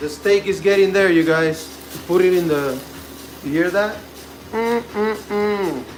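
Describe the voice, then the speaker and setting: In a Spanish accent, a man with a high pitch and ordinary pitch variation talks at a fairly slow pace with long, frequent pauses, amid audible room echo and noticeable background noise. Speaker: home cooking streamer. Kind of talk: live cooking stream, casual chat. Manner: casual, chatty.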